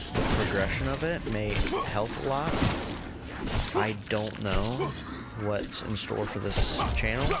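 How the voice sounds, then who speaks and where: Someone talks at a very slow pace over loud background noise. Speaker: gaming YouTuber. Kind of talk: casual channel update voice-over.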